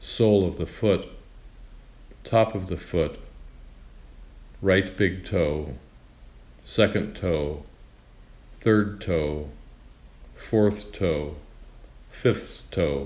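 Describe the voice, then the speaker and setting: Very slow and calm, a man speaks with a very deep, low pitch and ordinary pitch variation. His voice is somewhat breathy, broken by long, frequent pauses. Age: 80s+. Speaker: yoga teacher. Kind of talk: guided meditation. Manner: slow, calm.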